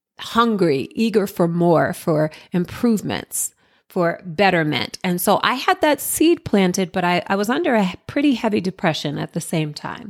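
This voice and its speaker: A woman with an American accent has an unremarkable speaking voice, medium in pitch, with lively intonation at a moderate pace. The recording is dry and close, with no echo. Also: very clean recording, silent background. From Jersey City, New Jersey, US. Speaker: podcast host and entrepreneur. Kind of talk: personal storytelling monologue.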